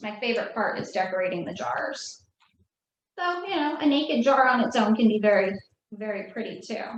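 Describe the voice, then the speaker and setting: Over audible room echo, a woman talks at a moderate pace with very wide pitch swings. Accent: American. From New Jersey. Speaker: craft instructor. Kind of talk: tutorial.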